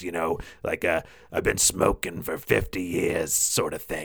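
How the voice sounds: A man's raspy, put-on character voice at a fairly slow pace.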